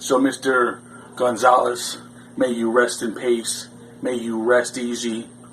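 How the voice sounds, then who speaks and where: Over noticeable background noise, a man speaks very slowly at a medium pitch in a monotone, flat delivery. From Canada. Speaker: pro wrestler. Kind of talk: wrestling promo.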